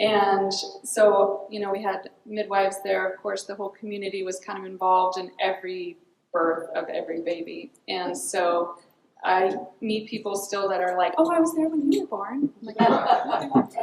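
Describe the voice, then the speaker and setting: Big swings in loudness mark a woman's lively, medium-pitched speech at a moderate pace with an American accent. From Mendocino County, California. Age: 40s. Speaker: rancher. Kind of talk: panel talk. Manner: hesitant, many ums.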